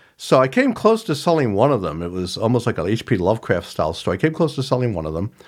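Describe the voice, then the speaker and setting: Hardly pausing, a man speaks at a very fast pace with vocal fry and very wide pitch swings. His pitch is medium, and the recording is very clean with a silent background. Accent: American. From rural Ohio. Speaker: author. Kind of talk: casual interview.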